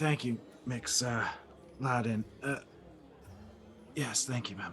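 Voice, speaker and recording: Doing a put-on character voice, a man sounds raspy and nervous at medium pitch with ordinary pitch variation, speaking at a fairly slow pace over clear background noise. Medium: actual play. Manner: nervous, stammering.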